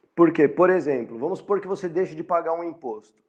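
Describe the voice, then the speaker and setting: The voice belongs to a man with a fairly high pitch. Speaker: university lecturer. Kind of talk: lecture. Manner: halting.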